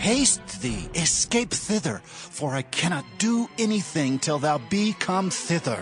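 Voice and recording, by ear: A man puts on a character voice, fairly high in pitch with big pitch swings. He speaks slowly over faint music in the background.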